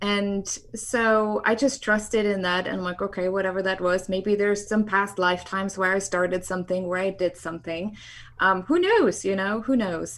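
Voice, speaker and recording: Fairly even intonation and a moderate pace, with a German accent. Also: woman, medium pitch for a woman. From East Germany. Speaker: sociologist and film producer. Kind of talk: interview.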